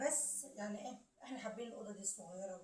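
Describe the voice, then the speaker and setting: At a moderate pace, a woman speaks somewhat breathily with ordinary pitch variation amid audible room echo. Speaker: home vlogger. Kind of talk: home tour vlog. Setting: at home. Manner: halting, many fillers.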